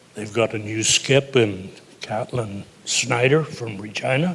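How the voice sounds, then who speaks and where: Noticeable background noise behind a man's medium pitch and ordinary pitch variation. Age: 90s. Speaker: athlete's grandfather, former curler. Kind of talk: on-stage interview.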